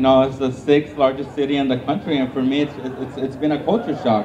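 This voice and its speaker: A man with a Spanish accent speaks in a fairly high voice, with noticeable background noise and audible room echo. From Mexico. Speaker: newly elected school board member. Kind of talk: victory speech. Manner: halting.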